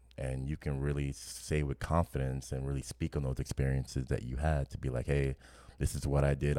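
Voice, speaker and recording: A man's very deep, low voice, dark and mellow, flat and monotone, with a New Orleans accent. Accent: New Orleans Southern US. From New Orleans, US South. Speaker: podcast co-host. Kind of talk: casual chat.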